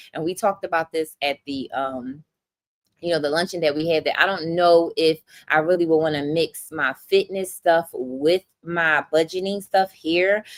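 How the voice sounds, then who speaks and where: With a Philadelphia accent, a woman speaks in an animated tone at a fairly low pitch, the sound dry and close with no echo. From Philadelphia, US. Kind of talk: livestream chat with viewers.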